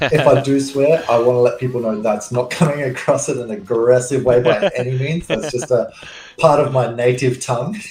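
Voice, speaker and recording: With noticeable background noise behind him, a man in an Australian accent speaks at a fairly quick pace with ordinary pitch variation. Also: medium pitch for a man. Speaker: gamer, fellow player. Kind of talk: casual chat.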